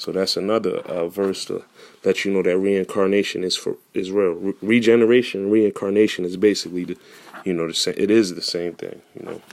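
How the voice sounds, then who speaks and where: A man's fairly low voice at a moderate pace with fairly even intonation. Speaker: religious teacher. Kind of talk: bible teaching.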